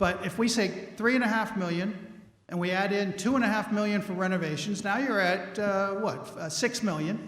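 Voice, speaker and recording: The voice moves at a fairly quick pace with ordinary pitch variation, amid noticeable background noise and audible room echo. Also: man. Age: 60s. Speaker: resident speaking at town meeting. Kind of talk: public comment at town meeting. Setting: town meeting hall.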